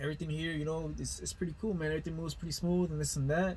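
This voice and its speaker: Somewhat breathy and flat in intonation, a man with a Spanish accent speaks at a fairly high pitch. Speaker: heavy duty diesel technician. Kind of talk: casual storytelling monologue. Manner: casual, filler-heavy with false starts.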